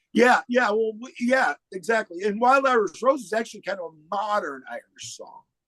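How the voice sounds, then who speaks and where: With an American accent, a man speaks at a high pitch in a bright, sharp tone, using lively intonation, big swings in loudness, a moderate pace and hardly any pauses, in a dry, close sound with no echo. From upstate New York (Oswego). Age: 60s. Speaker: musician. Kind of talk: podcast interview. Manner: hesitant, repeats words.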